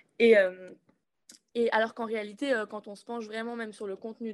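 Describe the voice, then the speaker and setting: Here, a woman talks in an unremarkable speaking voice at a moderate pace. Her pitch is fairly high. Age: 20s. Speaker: climate activist. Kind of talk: political discussion.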